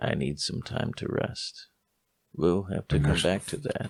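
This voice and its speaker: A raspy man's put-on character voice, very deep and low-pitched, at a fairly slow pace. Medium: actual play. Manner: gentle, motherly.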